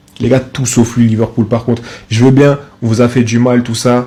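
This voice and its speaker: A man speaks at a medium pitch with a somewhat breathy quality. His tone is dark and mellow. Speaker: football content creator. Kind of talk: casual commentary. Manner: animated.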